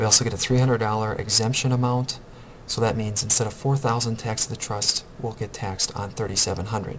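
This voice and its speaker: The speaker talks at a very fast pace with fairly even intonation. Noticeable background noise runs underneath. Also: man, medium pitch for a man. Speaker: accounting instructor. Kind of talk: recorded tutorial lecture.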